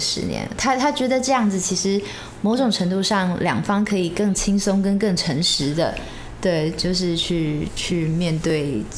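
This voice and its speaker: Audible room echo and noticeable background noise surround a woman speaking fairly slowly at a medium pitch, her intonation lively and her loudness very even. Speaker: bride. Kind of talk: casual chat.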